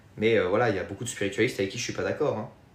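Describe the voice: A man with a Marseille accent, fairly low in pitch, fairly even in intonation, at a very fast pace. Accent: southern French, Marseille.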